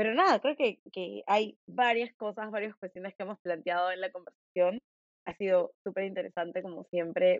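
A woman speaking with a Lima accent. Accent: Lima Peruvian Spanish. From Peru, Lima. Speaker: podcast host. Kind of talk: interview conversation.

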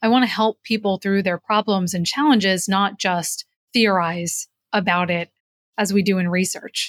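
A woman with an American accent and an unremarkable speaking voice talks at a moderate pace, at medium pitch with fairly even intonation. The sound is dry and close with no echo. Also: very clean recording, silent background. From New Jersey, US. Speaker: executive coach and author. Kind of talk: interview.

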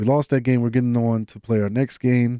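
A man with an American accent speaks in a dark, mellow tone with fairly even intonation. The sound is dry and close, with no echo. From US South, Georgia. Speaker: college football player. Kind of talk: casual monologue.

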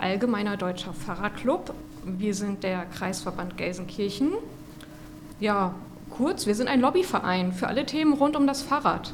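Noticeable background noise and audible room echo surround a woman who speaks fairly slowly at a medium pitch with lively intonation. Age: 40s. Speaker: cycling club chairwoman. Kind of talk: casual chat. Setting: kiosk.

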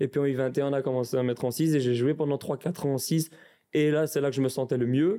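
A man talks with very even loudness and fairly even intonation at a fairly high pitch. His tone is dark and mellow. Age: 20s. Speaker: professional footballer. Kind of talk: interview. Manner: halting.

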